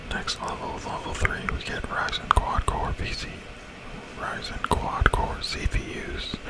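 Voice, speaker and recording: Noticeable background noise surrounds a man who whispers at a fairly slow pace. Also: big swings in loudness. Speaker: ASMR gaming YouTuber. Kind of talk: casual gameplay commentary. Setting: studio, recorded with a Blue Yeti Blackout microphone. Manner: relaxed, low-key.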